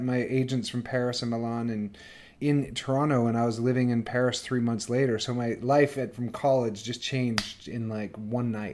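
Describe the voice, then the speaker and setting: The man has a plain, everyday voice and a Canadian accent. His pitch is medium, his pace moderate and his intonation fairly even. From northern Canada. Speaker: actor and life coach. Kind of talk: casual interview chat. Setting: remote call from quarantine.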